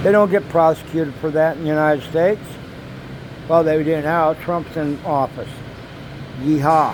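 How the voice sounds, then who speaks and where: Long, frequent pauses break up fairly even intonation, with noticeable background noise behind the voice. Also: man, fairly high pitch for a man, moderate pace. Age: 60s. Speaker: vlogger. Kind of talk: casual monologue vlog. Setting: apartment.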